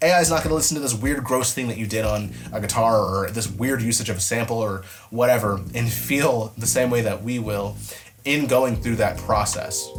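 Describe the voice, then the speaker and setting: A man with a medium pitch and ordinary pitch variation talks amid audible room echo. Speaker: music producer and mixing engineer. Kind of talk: casual vlog commentary. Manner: fast; animated.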